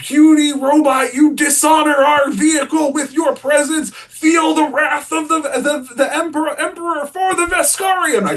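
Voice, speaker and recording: A man's loud, bellowing put-on character voice at an extremely high pitch, at a moderate pace with hardly any pauses. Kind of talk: pompous, theatrical. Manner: loud, fierce, bellowing.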